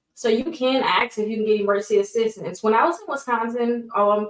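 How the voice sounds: Speaking at a fast pace, a woman uses a fairly high pitch with ordinary pitch variation.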